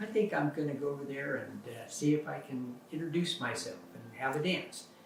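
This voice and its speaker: Over noticeable background noise, a man with an American accent speaks at a fairly high pitch. His pitch varies in an ordinary way, and his pace is moderate. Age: 70s. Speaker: husband telling family history. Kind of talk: casual personal storytelling. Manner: relaxed, many fillers.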